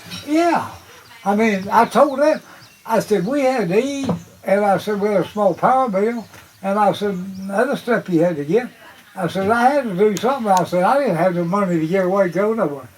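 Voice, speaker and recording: With an Appalachian accent, a man talks at a fairly quick pace in a high pitch with lively intonation, over noticeable background noise. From US, West Virginia (Appalachia). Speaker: retired coal miner, storyteller. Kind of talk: storytelling interview.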